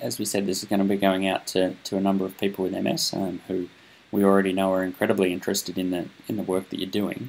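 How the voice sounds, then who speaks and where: At a fairly quick pace, a man with a fairly low pitch talks with an Australian accent. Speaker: interviewer, research communication host. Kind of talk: interview.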